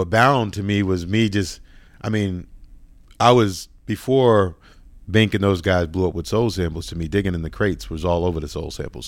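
A man's very deep, low voice with an American accent, moderate pace and ordinary pitch variation, on a very clean recording with a silent background. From Boston, Dorchester/Roxbury. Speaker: music producer. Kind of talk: interview conversation.

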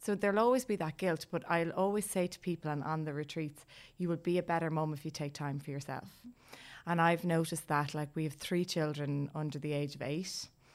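Speaking fairly quickly with an Irish accent, a woman uses a very deep, low pitch and ordinary pitch variation on a very clean recording with a silent background. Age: 40s. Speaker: life coach and yoga teacher. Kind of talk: interview about personal experience. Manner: talkative.

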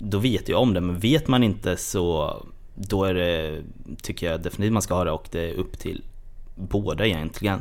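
Very deep and low in pitch, the man's voice shows ordinary pitch variation. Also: moderate pace. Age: 20s. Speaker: podcast guest. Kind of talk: casual chat. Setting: studio.

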